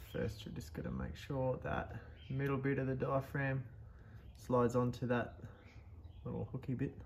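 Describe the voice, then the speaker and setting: With an Australian accent, a man talks in vocal fry, with ordinary pitch variation, long and frequent pauses, and light background noise. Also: moderate pace. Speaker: vintage machinery restorer. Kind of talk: tutorial. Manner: casual, with many fillers. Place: workshop.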